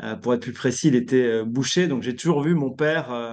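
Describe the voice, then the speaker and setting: Over a quiet background, a man speaks at a medium pitch. His pitch varies an ordinary amount. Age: 40s. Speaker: leadership coach. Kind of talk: interview. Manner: hesitant, many fillers.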